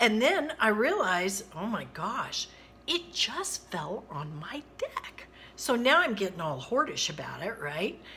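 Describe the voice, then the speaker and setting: A woman's animated voice with very wide pitch swings, over noticeable background noise. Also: fairly high pitch for a woman, fairly slow pace. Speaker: retired teacher. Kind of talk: personal storytelling to camera. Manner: lively, animated.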